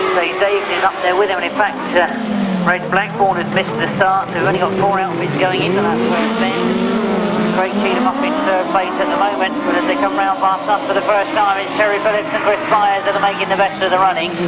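Loud background noise runs through the clip. A man speaks at a fairly quick pace. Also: ordinary pitch variation. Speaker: race commentator. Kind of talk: sports commentary.

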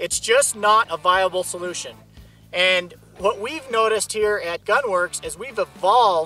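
A man speaks in a raised, projected voice with ordinary pitch variation. Faint music plays behind the dry sound with no echo. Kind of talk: product demonstration talk. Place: open country.

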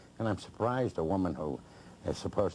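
A man's very deep, low voice with vocal fry, a dark, mellow tone and light background noise. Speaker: interview guest. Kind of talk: interview answer. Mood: indignant, mocking a critic. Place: studio.

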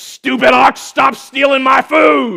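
This put-on character voice growls at a fairly high pitch. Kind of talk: sermon. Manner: exasperated, shouting.

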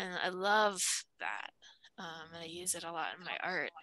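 The voice has a bright, sharp tone and monotone, flat intonation, moving at a fairly slow pace in a dry sound with no echo. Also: woman. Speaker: artist. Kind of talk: casual chat. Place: home room. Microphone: video call.

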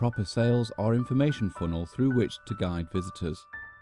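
Over music in the background, a man at medium pitch talks at a very fast pace with lively intonation. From British. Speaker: voice actor. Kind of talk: corporate narration.

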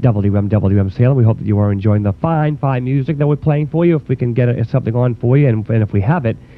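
He speaks at a very fast pace. Hardly any pauses break up this man's speech. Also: ordinary pitch variation. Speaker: college radio DJ. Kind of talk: radio DJ show host talk between songs. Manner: relaxed, casual, with filler words. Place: studio.

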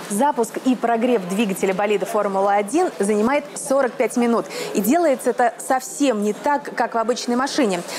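At a moderate pace and very even loudness, a woman speaks with ordinary pitch variation amid noticeable background noise. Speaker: TV motoring reporter. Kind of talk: presenter piece to camera. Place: garage.

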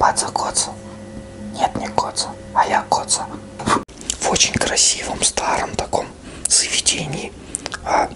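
Someone whispers at a fairly slow pace, stopping often for long pauses. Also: man. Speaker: vlogger. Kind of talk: casual comedic vlog chat. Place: home room. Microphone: phone near.

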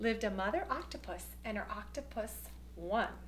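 The speech moves at a moderate pace. Light background noise runs underneath. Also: woman. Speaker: children's storyteller. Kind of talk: children's story reading. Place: home room. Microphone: phone near.

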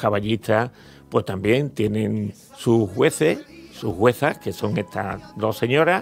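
A man speaks at a very slow pace, fairly low in pitch, with ordinary pitch variation. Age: 70s. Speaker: horse show organizer. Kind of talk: radio interview. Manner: halting, with fillers.

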